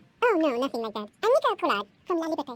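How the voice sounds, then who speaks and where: This squeaky, put-on character voice races at a very fast pace with very wide pitch swings, and the sound is dry and close with no echo. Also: woman, extremely high pitch for a woman. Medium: video game. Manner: crisp, no-nonsense.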